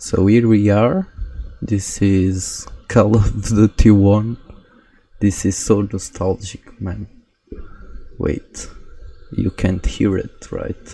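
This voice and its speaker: With a Portuguese accent, a man talks very slowly at a fairly low pitch, monotone and flat, leaving long, frequent pauses. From Portugal. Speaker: gaming YouTuber. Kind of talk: gameplay commentary. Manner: casual, with hesitations.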